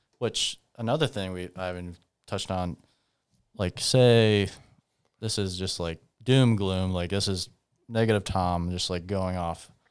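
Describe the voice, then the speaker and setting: Very deep, low male voice in a Midwestern US accent, fairly slow with long, frequent pauses and ordinary pitch variation, on a very clean recording with a silent background. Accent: US Midwest. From Iowa (Humboldt). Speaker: podcast host, sports fan. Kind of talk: casual interview chat. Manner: rambling, many fillers (like).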